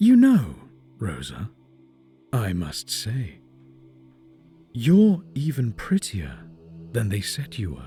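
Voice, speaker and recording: Over faint music in the background, a man does a put-on character voice at medium pitch, speaking at a very slow pace with long, frequent pauses. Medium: audio drama. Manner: smug, taunting.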